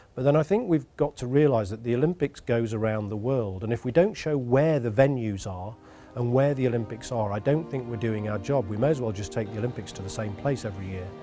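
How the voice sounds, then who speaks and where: Clear music plays in the background. A man speaks over it at a very fast pace. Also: ordinary pitch variation. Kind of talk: interview answer. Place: studio. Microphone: lapel.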